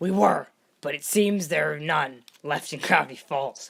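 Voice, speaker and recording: A put-on character voice sits at middle pitch. The pace is moderate. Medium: read story. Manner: calm.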